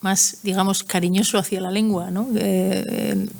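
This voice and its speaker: Delivered at a fairly slow pace in a Basque accent, the speech keeps a fairly even intonation. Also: woman. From Basque Country. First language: Basque (speaking Spanish). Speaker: writer. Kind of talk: conference Q&A. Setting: hall with audience. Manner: halting.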